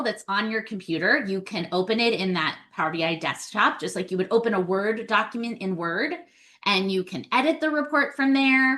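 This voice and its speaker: A woman's bright, sharp tone, fairly quick, with lively intonation. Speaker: data trainer / webinar presenter. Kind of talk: webinar tutorial. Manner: casual, conversational.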